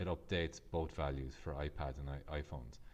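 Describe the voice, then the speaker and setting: Here a man speaks with an Irish accent. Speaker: Excel tutor. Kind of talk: software tutorial narration.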